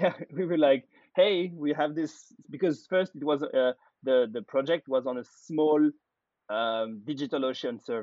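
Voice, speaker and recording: A man with a French accent talks at a moderate pace in a fairly high pitch, with ordinary pitch variation. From France. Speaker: data platform founder. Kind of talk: interview.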